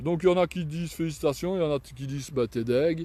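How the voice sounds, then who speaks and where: A man talks with a Belgian accent. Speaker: cyclist vlogger. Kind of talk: casual live vlog. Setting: outdoors. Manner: halting.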